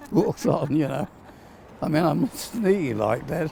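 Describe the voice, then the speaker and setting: A man talks with lively intonation. Noticeable background noise runs behind him. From Perth, Australia. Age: 90s. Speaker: war veteran. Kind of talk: casual chat. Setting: at home. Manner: halting.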